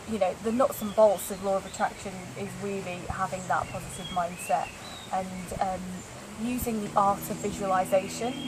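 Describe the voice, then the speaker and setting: Through noticeable background noise, a woman speaks at a moderate pace and medium pitch, her intonation monotone and flat. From northern England, Lancashire. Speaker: interviewee, law of attraction practitioner. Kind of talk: casual interview. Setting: yoga retreat in Thailand.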